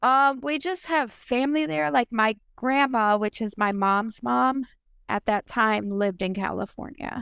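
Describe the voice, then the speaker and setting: On a very clean, dry and close recording with no echo and a silent background, a woman with an American accent speaks in an ordinary speaking voice at a fairly slow pace, her fairly high pitch carried by lively intonation. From Minnesota. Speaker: domestic abuse survivor and business owner. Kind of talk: personal testimony interview.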